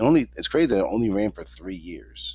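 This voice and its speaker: A man is speaking. His pace is fairly quick. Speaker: video reviewer. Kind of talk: casual talk to camera. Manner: casual, slangy.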